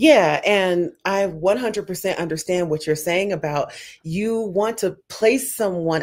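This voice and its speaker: Recorded very cleanly against a silent background, a woman with an American accent and an unremarkable speaking voice talks at a fairly slow pace and medium pitch with ordinary pitch variation. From United States. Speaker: panel host. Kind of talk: panel discussion.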